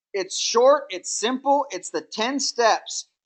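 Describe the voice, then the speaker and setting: Against a quiet background, a woman with a fairly high pitch and lively intonation talks at a fairly slow pace in an ordinary speaking voice. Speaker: network marketing trainer. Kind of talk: training webinar.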